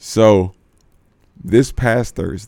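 A man speaks with an American accent. His voice has vocal fry. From Houston, Texas. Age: 20s. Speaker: comedian. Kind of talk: casual chat.

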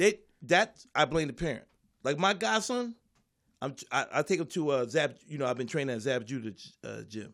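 In a very clean recording with a silent background, a man with an American accent speaks at a moderate pace and a fairly high pitch, with very wide pitch swings and big swings in loudness. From US Northeast, Philadelphia. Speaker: comedian. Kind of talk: casual chat.

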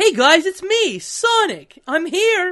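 A squeaky, put-on character voice at an extremely high pitch and a fairly slow pace. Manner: cheerful, energetic.

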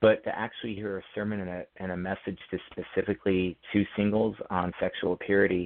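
The speaker talks at a fairly quick pace with hardly any pauses, in an American accent. The intonation is monotone and flat. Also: man, fairly low pitch for a man. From Phoenix, Arizona, US Southwest. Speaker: author. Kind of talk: interview.

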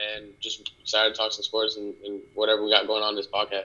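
A man's fairly low voice with a bright, sharp tone and an American accent, at a moderate pace

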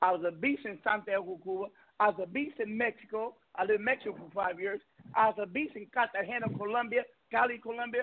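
A man speaks very fast in an animated tone with high pitch and ordinary pitch variation. His loudness swings a lot. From Venezuela, raised partly in New York area. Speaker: radio show host. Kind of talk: casual talk radio interview. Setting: internet radio show.

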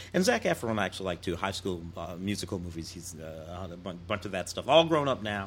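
A man talks fairly quickly in a very deep, low, somewhat breathy voice with hardly any pauses. His loudness swings widely. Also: ordinary pitch variation. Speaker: film critic. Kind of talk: casual chat. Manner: halting, repeats words.

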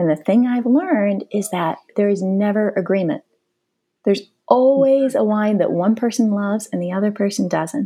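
A woman with an American accent at a moderate pace, with ordinary pitch variation. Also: medium pitch for a woman. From northeastern Ohio, US. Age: 40s. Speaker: wine expert. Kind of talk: interview.

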